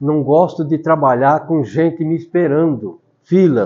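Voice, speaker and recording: The voice belongs to a man. He talks at a fairly slow pace. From rural São Paulo state, Brazil. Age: 70s. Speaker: retired teacher and author. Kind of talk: interview, life story.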